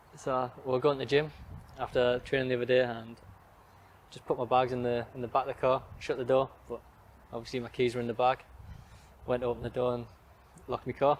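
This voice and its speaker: A medium-pitched male voice with a Geordie accent, very fast delivery broken by long, frequent pauses, and monotone, flat intonation. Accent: Geordie, mistaken for Australian. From northern England, Newcastle area. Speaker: professional footballer. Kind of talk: interview. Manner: brief, reserved answers.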